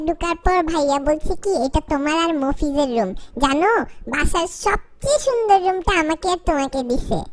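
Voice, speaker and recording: A woman's put-on character voice, extremely high in pitch, with lively intonation. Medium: voice reel.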